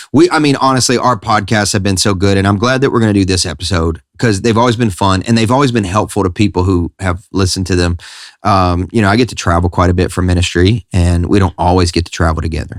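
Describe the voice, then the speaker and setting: A man with a Southern US accent speaks at a fairly quick pace in a fairly low pitch, with ordinary pitch variation and very even loudness, on a very clean recording with a silent background. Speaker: pastor and podcast host. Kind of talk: casual chat.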